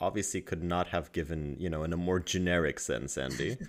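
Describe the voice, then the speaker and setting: Very deep and low in pitch, this is a man's voice. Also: very clean recording, silent background. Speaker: podcast co-host. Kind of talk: casual chat. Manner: bantering, sarcastic.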